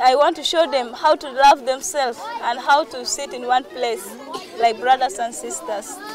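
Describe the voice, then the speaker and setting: Against crowd noise in the background, a woman's high voice carries lively intonation in a dry sound with no echo. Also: moderate pace, big swings in loudness. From South Sudan. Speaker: volunteer teacher. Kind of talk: interview. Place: open country.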